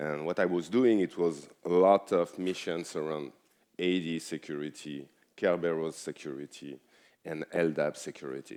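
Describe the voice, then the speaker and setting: In a French accent, a man speaks at a moderate pace with a very deep, low pitch and ordinary pitch variation. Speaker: cybersecurity expert. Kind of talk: conference talk.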